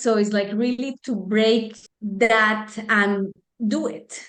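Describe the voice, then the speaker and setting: A woman speaks with a Spanish accent at a fairly high pitch. Her intonation is monotone and flat. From Colombia. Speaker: life coach. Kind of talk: casual interview. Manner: hesitant, many fillers.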